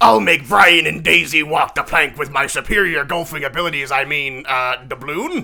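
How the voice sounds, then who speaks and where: A man's put-on character voice, fairly high in pitch, at a moderate pace with hardly any pauses. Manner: playful.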